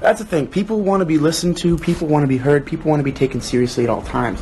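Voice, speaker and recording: Against noticeable background noise, a man with a fairly high pitch talks at a very fast pace. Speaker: actor hosting a book club livestream. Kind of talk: livestream chat, reading viewer comments aloud. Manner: casual, conversational.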